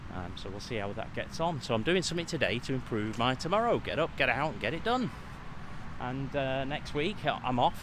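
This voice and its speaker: With audible room echo, a man in a British accent speaks at a moderate pace. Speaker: vlogger and mind coach. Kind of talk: casual vlog. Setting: outdoors walking.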